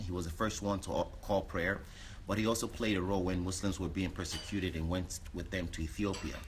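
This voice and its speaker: In an ordinary speaking voice, a man talks fairly quickly at fairly low pitch amid light background noise. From New York City. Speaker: visitor; guest. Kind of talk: casual chat. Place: home room. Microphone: phone near.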